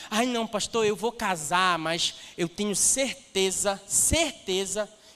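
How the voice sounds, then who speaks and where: A man with a high pitch speaks in an animated tone with lively intonation. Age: 30s. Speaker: pastor. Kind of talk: sermon. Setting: church stage with audience.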